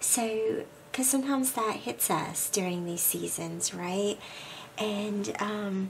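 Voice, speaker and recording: At a very slow pace, a woman of medium pitch speaks with ordinary pitch variation, with audible room echo and noticeable background noise around her. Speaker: scrapbooking youtuber. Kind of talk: craft tutorial. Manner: casual, many filler ums.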